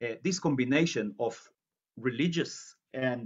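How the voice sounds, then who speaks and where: Very slowly and with lively intonation, a man speaks in an Israeli accent. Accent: Israeli Hebrew. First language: Hebrew. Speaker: journalist and researcher giving a lecture. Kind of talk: lecture. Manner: halting, many fillers and repetitions.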